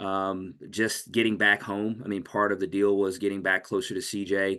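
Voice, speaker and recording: A loud male voice, fairly low in pitch, bright and sharp in tone, with monotone, flat intonation over a quiet background. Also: moderate pace. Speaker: nonprofit fundraising executive. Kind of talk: casual chat.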